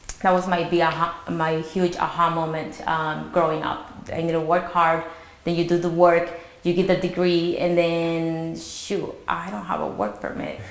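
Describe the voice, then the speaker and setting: A woman with a non-native accent and a fairly low pitch speaks at a moderate pace with fairly even intonation. Noticeable background noise and audible room echo fill the recording. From immigrant to the US, came as a teen. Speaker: mortgage branch manager. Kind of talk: panel interview. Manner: halting, many fillers.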